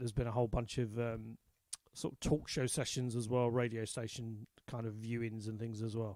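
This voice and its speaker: The speaker is a man with an English accent. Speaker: country folk singer-songwriter. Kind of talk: live stream chat. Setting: online live stream. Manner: casual.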